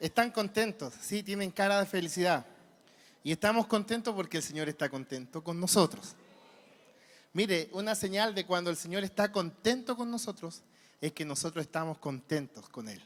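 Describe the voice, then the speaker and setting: In a very clean recording with a silent background, a man with a Chilean accent speaks at a moderate pace in a high voice, with an animated tone and lively intonation. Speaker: preacher. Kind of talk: sermon.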